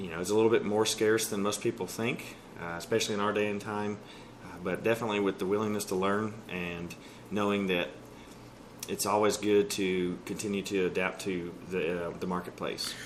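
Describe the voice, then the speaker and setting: A man speaks fairly quickly in a Texas accent. His fairly low voice stays monotone and flat. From East Texas (Texarkana). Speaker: car dealership sales manager. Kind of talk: interview.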